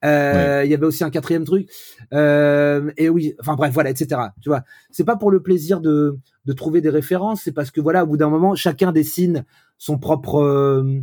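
A dark, mellow tone at a moderate pace, with big swings in loudness, on a very clean recording with a silent background. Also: man. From France, Brittany (Vannes). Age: 40s. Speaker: pop singer-songwriter. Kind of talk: casual interview.

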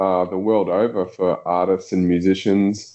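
Speaking at a fairly slow pace, a man with an Australian accent uses a fairly low pitch. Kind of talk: casual chat.

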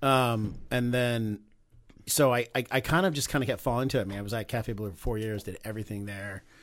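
A plain, everyday voice: a man of medium pitch talking at a fairly quick pace with ordinary pitch variation, on a very clean recording with a silent background. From Texas. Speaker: chef and restaurant owner. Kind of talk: casual interview. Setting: studio.

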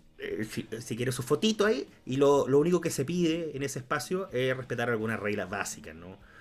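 Fairly quick speech from a man, medium pitch, very wide pitch swings, hardly any pauses, noticeable background noise. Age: 20s. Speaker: podcast co-host, law graduate. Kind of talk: casual chat.

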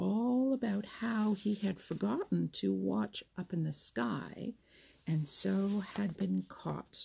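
Speech in a natural reading voice

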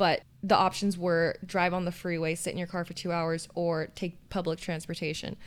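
With an American accent and a fairly low pitch, a woman speaks at a moderate pace in a flat monotone, hardly pausing, on a very clean recording with a silent background. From US, Southern California (LA County). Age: 20s. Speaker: podcast co-host. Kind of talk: casual chat. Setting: home office.

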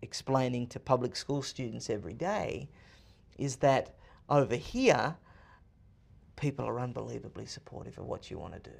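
An Australian accent at a moderate pace on a very clean recording with a silent background. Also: man. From Australia, Sydney. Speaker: author and political commentator. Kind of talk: interview. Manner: energetic, fluent talker.

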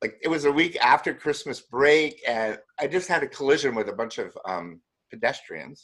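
Here a man with a fairly high pitch speaks at a moderate pace. His intonation is lively, with vocal fry. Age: 60s. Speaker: movement method teacher. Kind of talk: interview.

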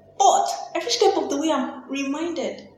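Audible room echo and noticeable background noise fill this clip. A woman speaks with a high pitch and lively intonation. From Nigeria. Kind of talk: interview conversation.

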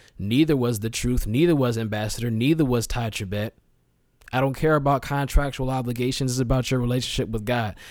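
A man with an unremarkable speaking voice, medium in pitch, fairly even in intonation and fairly quick in pace, on a very clean recording with a silent background. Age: 20s. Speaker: podcast host. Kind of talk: casual solo commentary.

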